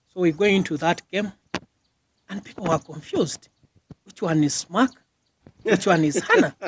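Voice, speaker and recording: In a dry, close sound with no echo, a high-pitched man speaks at a moderate pace with ordinary pitch variation, big swings in loudness and long, frequent pauses. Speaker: doctor and military officer, former school rugby captain. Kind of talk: interview answer. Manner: soft-spoken.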